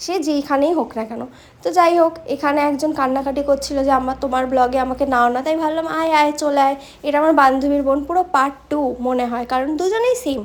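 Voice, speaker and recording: Her high pitch showing ordinary variation, a woman speaks. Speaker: vlogger. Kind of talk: vlog voice-over. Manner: normal speaking voice; chatty.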